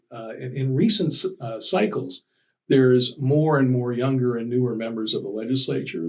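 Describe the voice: There is audible room echo around a man's voice. He talks at a fairly quick pace with ordinary pitch variation.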